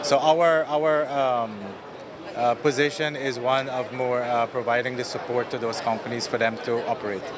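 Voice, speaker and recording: A man with a Guyanese accent talks in a fairly even intonation, with audible room echo and noticeable background noise. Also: medium pitch for a man, moderate pace. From Guyana. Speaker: telecom company executive. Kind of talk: interview. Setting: exhibition booth at a conference.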